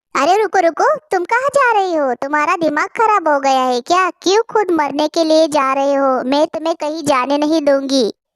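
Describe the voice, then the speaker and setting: A woman performs a cartoonish character voice at a high pitch with lively intonation, a moderate pace and hardly any pauses, in a dry, close sound with no echo. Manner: exclamatory, dramatic.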